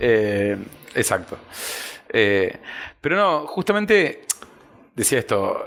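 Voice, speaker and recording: A man's fairly high voice at a very slow pace, with very wide pitch swings and long, frequent pauses. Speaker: policy analyst. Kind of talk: podcast guest conversation.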